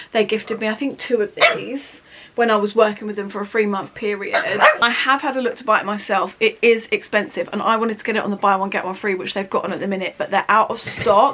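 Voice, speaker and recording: A woman with an English accent talks at a very fast pace and a fairly high pitch. Her intonation is fairly even, and there is noticeable background noise. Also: hardly any pauses. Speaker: beauty vlogger. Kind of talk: product review vlog. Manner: chatty.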